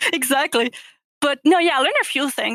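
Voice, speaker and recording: In a French accent, a woman speaks with ordinary pitch variation in a dry, close sound with no echo. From Quebec, Canada. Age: 20s. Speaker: gamer. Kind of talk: podcast interview.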